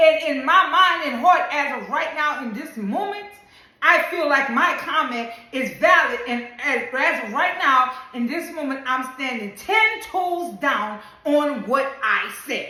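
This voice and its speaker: Raising and projecting her voice, a woman with a high pitch speaks at a fairly slow pace in an animated, bright, sharp tone, with lively intonation, big swings in loudness and audible room echo. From Louisiana. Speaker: social media commentator. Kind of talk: opinion monologue video.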